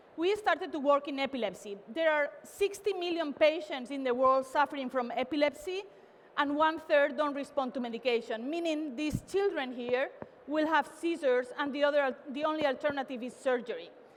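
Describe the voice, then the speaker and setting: Fairly quick speech from a woman, high in pitch, with ordinary pitch variation. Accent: Spanish. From Spain, Barcelona. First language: Spanish or Catalan. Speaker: tech company CEO. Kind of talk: keynote talk. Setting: stage with audience. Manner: animated.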